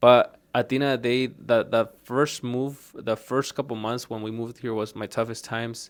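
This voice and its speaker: In a slight Mexican accent, a man talks at a medium pitch and a moderate pace with hardly any pauses. His intonation is monotone and flat, and the recording is very clean with a silent background. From Mexico. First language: Spanish. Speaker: auto shop owner. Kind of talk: casual interview chat. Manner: halting, many fillers and repeats.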